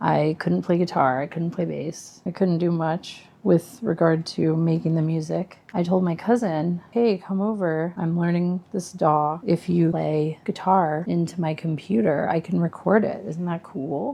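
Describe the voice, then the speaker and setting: Soft-spoken, mumbling woman's voice, fairly low in pitch, at a fairly slow pace with hardly any pauses and ordinary pitch variation. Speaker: musician vlogger. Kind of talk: casual vlog monologue.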